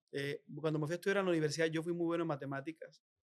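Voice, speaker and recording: Speaking at a very fast pace, a man uses a fairly high pitch and a monotone, flat intonation. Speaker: politician, former governor. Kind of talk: interview. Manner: halting with repetitions.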